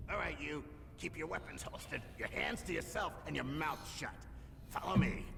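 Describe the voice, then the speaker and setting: Over loud background noise, a man puts on a gruff character voice at a fairly high pitch, talking at a moderate pace with long, frequent pauses. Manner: commanding, stern.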